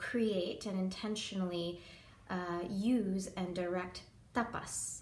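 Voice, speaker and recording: In a room with audible echo, a woman speaks at a fairly slow pace in a somewhat breathy, medium-pitched voice with ordinary pitch variation. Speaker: yoga teacher. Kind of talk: tutorial. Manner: hesitant, many filler ums.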